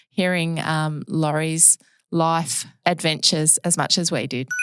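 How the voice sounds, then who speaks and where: Over music in the background, a woman with an Australian accent speaks at a fairly low pitch and a fairly slow pace, with fairly even intonation. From Western Australia. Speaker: podcast host. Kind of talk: scripted introduction; casual chat.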